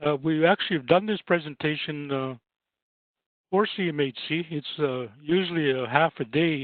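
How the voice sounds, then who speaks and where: Ordinary pitch variation in a man's fairly high voice. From Saskatchewan, Canada (First Nations). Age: 60s. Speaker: housing advisor and trainer. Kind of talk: webinar presentation. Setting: online webinar.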